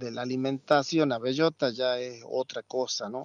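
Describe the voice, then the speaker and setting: A man speaks in a normal speaking voice at a medium pitch with fairly even intonation. The sound is dry and close, with no echo. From Argentina. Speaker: ham producer. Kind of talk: interview.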